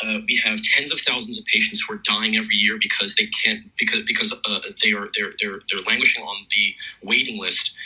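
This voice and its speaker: Noticeable background noise sits behind a man with an American accent who talks at a fairly quick pace. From United States. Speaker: emergency doctor. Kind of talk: radio interview. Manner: halting, many repeated words.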